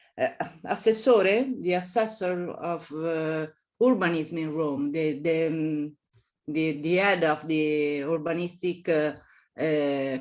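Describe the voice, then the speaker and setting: Speaking with an Italian accent, a woman uses a very deep, low pitch and ordinary pitch variation on a very clean recording with a silent background. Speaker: architecture professor. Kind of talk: interview. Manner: halting, many fillers and repetitions.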